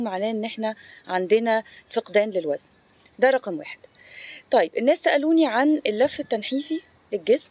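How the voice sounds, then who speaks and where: Dry with no echo, the recording captures a woman speaking at a moderate pace with lively intonation. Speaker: fitness coach. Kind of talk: casual informative vlog talk. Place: garden. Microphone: phone near.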